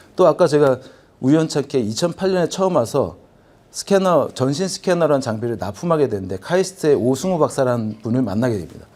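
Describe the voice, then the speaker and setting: Lively intonation and a dark, mellow tone at a fairly quick pace, in a Gyeongsang accent. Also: man. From Busan, South Korea. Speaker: business executive, forum presenter. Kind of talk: conference presentation. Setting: convention hall with audience.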